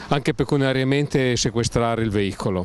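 A man speaks with lively intonation. Faint background noise is present. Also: slightly mellow tone.

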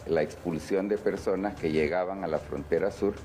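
A man's very deep, low voice over faint music in the background. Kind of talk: interview answer. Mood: serious, critical. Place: office. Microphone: handheld.

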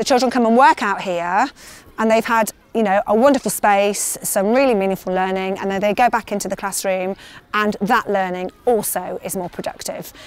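With a dry sound and no echo, a woman talks at a moderate pace using ordinary pitch variation. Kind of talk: interview answer. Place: open country.

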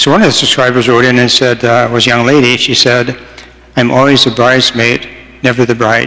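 With little pitch movement, a man talks at a fairly quick pace in a medium pitch and a bright, sharp tone.

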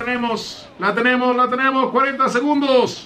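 Using a raised, projected voice, a man talks at a fairly slow pace. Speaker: gaming streamer. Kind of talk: live gameplay commentary. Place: home room.

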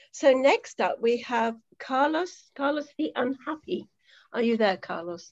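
Against a quiet background, the speaker uses a warm tone, very wide pitch swings and a fairly slow pace. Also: woman, high pitch for a woman. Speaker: poetry event host. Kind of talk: hosting an online poetry reading. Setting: video call. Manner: warm, chatty. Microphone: video call.

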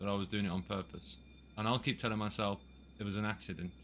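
Very fast and with vocal fry, a man speaks in a fairly low pitch. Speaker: police roleplayer streamer. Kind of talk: radio dispatch-style pursuit commentary. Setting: online game roleplay, streamed. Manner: rapid, clipped, running commentary; animated, excited.

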